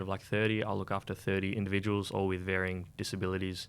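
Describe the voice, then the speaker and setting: Speaking with an Australian accent, a man talks very fast in a fairly low pitch with monotone, flat intonation, in a very clean recording with a silent background. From Sydney, Australia (western suburbs). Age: 20s. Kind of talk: radio interview. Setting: radio studio.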